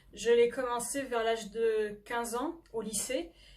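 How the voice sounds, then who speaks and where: A woman speaks at a fairly high pitch. Her pace is fairly slow and her intonation fairly even. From France, Normandy (near Le Havre). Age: 20s. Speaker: novelist and history doctoral student. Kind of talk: book presentation to camera. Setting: self-recorded video. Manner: hesitant, frequent filler 'euh'.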